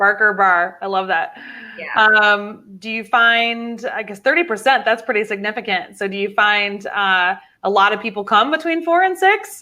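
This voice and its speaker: The delivery has ordinary pitch variation and a moderate pace. Overall, it is a plain, everyday voice. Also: woman, fairly high pitch for a woman. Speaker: livestream interview host. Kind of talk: live online interview. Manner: upbeat.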